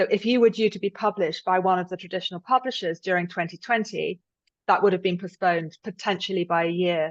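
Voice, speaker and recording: Over a quiet background, a woman with a British accent talks at a very fast pace with ordinary pitch variation, the sound dry and close with no echo. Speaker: thriller novelist. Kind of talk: interview. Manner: halting.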